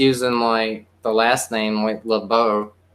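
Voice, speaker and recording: The speaker has a Southern accent and talks at a fairly slow pace. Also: man. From South Carolina. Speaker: poet and musician. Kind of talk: casual chat.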